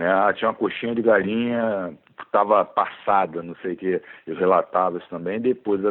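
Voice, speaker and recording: A man's fairly low pitch and fairly even intonation at a moderate pace, an ordinary speaking voice with big swings in loudness. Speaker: biology teacher and author. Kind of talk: casual interview chat.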